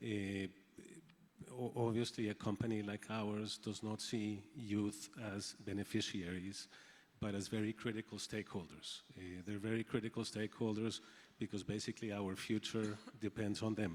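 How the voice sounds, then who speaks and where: Against a very clean recording with a silent background, a man with a Spanish accent talks at a moderate pace in a fairly low, monotone, flat voice. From Colombia. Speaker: agribusiness company executive. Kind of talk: panel discussion. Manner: halting, with repetitions.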